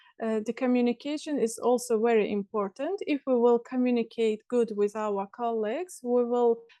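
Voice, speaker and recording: A woman with an Azerbaijani accent, a high pitch, ordinary pitch variation and a dark, mellow tone, at a moderate pace with hardly any pauses, in a dry, close sound with no echo. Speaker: language student. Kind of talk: conversation class. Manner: halting.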